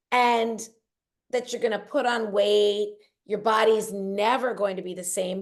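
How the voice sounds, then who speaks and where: She has a normal speaking voice with a fairly high pitch. The woman talks at a moderate pace. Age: 50s. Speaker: weight loss coach and author. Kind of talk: podcast interview.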